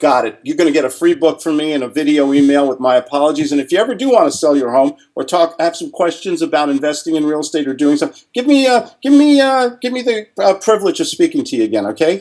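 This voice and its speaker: A man at a fairly high pitch and very fast pace, with very wide pitch swings and hardly any pauses. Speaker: real estate salesman and entrepreneur. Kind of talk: interview with role-played cold call. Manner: animated.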